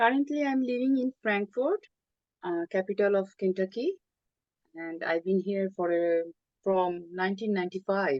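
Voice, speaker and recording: A woman speaks with a Bengali accent at a medium pitch and a moderate pace. Her intonation is lively, and she leaves long, frequent pauses. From Bangladesh (Chittagong). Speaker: artist and writer. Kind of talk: interview. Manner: hesitant, with many fillers.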